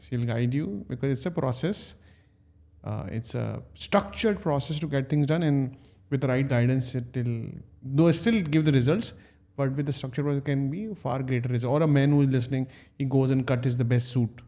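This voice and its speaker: A man talks at a fairly quick pace in an ordinary speaking voice, with medium pitch and ordinary pitch variation. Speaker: podcast host. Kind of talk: podcast interview questions.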